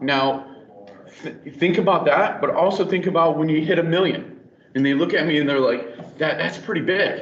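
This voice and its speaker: Amid noticeable background noise and audible room echo, a man with a fairly high pitch talks with ordinary pitch variation. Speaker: network engineer presenter. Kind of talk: technical presentation. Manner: fast.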